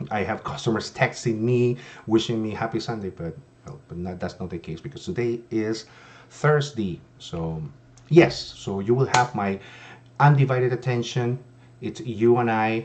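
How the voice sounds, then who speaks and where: Using a non-native accent, a man speaks at a medium pitch and moderate pace, with lively intonation and big swings in loudness. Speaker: insurance agent. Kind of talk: sales pitch. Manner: hesitant, many fillers.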